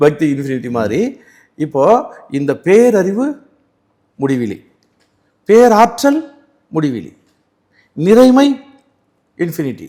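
A man's fairly high voice with a dark, mellow tone and very wide pitch swings. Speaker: varma healer and spiritual teacher. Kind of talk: interview storytelling.

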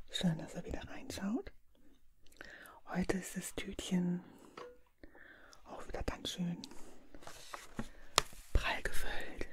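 Whispering with a gentle tone, a woman goes at a very slow pace with long, frequent pauses. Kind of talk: casual vlog chat. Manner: soft-spoken, gentle close-mic ASMR voice. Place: home room.

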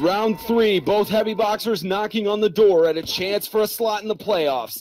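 There's noticeable background noise as a man speaks at a moderate pace and a high pitch. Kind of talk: live commentary. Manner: steady, measured play-by-play.

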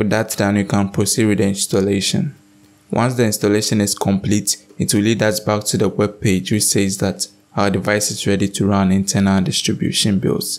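At a moderate pace, a man speaks with a fairly low pitch and little pitch movement.

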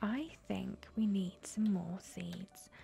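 Over faint music in the background, a soft-spoken woman talks at a very slow pace in a relaxed tone. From Britain. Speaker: ASMR gaming YouTuber. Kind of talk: ASMR let's play gameplay commentary. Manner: soft-spoken, relaxed. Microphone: studio mic.

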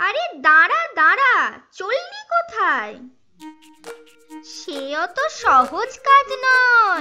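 A cartoonish, female-sounding character voice, extremely high and very slow, with very wide pitch swings and faint music in the background.

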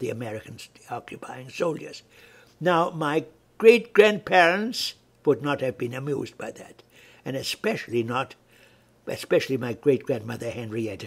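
The voice is somewhat breathy, with lively intonation and big swings in loudness. It moves at a moderate pace, broken by long, frequent pauses. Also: man. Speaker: family historian narrator. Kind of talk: lecture. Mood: warm, reminiscing. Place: home room. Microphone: webcam.

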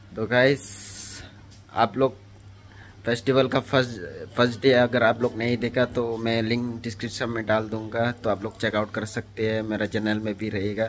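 Over light background noise, a man talks fairly slowly in a flat monotone. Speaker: vlogger. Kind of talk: casual vlog chat. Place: home room. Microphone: phone near.

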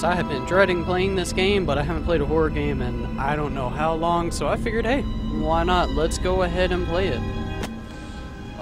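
Loud background noise surrounds a man talking at a moderate pace, his voice dry with no echo. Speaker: gamer. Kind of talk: let's play commentary. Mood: nervous, jumpy, startled outbursts. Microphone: studio mic.

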